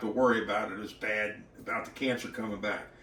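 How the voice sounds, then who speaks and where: A man talks at a moderate pace. Room echo is audible, and there is noticeable background noise. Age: 60s. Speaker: model car racing hobbyist. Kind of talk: casual vlog talk. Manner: halting.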